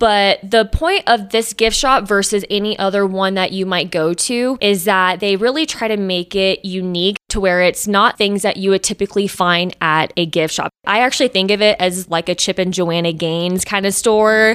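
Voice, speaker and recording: An ordinary speaking voice with an American accent moves at a moderate pace with hardly any pauses and ordinary pitch variation. The sound is dry and close with no echo. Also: woman, medium pitch for a woman. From Texas, Austin. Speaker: spa manager and esthetician. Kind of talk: interview.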